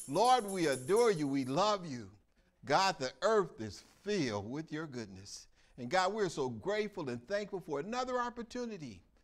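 A man speaks at moderate speed as faint music plays behind him. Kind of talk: prayer. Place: church.

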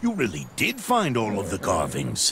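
A man's put-on character voice, fairly low in pitch with very wide pitch swings, a fairly bright tone and a moderate pace, over faint background noise.

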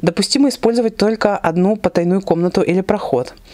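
The woman's pitch varies in an ordinary way. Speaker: book blogger. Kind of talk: casual vlog chat. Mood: warm, lively. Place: home room. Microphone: lapel.

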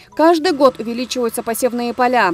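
Moderately paced, a woman speaks in an unremarkable speaking voice with ordinary pitch variation. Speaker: TV news reporter. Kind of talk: scripted news voiceover. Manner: formal.

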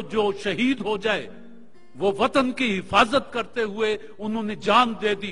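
Projecting a raised voice at a high pitch, a man keeps his intonation fairly even while faint music plays in the background. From Pakistan. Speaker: actor and TV host. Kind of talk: inspirational speech. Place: studio.

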